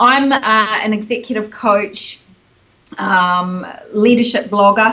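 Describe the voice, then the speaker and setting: Speaking with a New Zealand accent, a woman uses a fairly high pitch and fairly even intonation. She goes at a very slow pace with long, frequent pauses. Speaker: executive coach. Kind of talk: interview.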